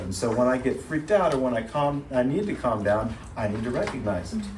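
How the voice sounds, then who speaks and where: Amid noticeable background noise and audible room echo, a man speaks at a medium pitch and a fairly quick pace. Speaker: therapist leading a church workshop. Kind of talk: workshop talk. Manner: fast.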